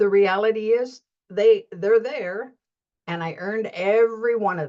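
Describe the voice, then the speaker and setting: A woman speaks at a fairly slow pace. Her tone is dark and mellow. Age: 70s. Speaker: life coach / motivational vlogger. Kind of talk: reflective monologue. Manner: halting, with many repeated words.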